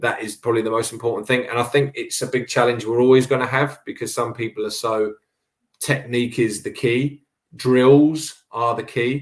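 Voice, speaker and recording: In a southern English accent, a man with a medium pitch speaks at a moderate pace with monotone, flat intonation. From England, Cambridge. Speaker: boxing coach. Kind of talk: interview conversation.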